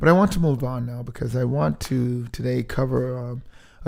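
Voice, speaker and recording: The man's voice has a dark, mellow tone and a medium pitch. He talks at a moderate pace. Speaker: podcast host. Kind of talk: podcast monologue. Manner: halting, many fillers.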